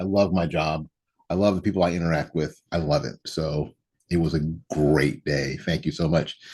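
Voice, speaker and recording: A man speaks with a very deep, low pitch. His intonation is fairly even, and his pace is moderate. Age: 60s. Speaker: political commentary show host. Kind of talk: casual monologue. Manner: repetitive, hesitant with restarts.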